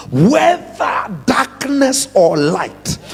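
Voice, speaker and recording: An animated man with a Kenyan accent, extremely high in pitch with very wide pitch swings, over music in the background. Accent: Kenyan accent, noticeable. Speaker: pastor. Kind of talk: sermon. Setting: church revival service with congregation.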